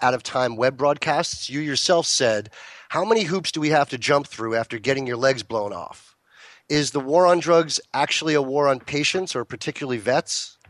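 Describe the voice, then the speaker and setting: At a moderate pace, a man with an ordinary speaking voice talks at a fairly high pitch, his intonation lively. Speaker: radio host and cannabis grow consultant. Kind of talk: interview.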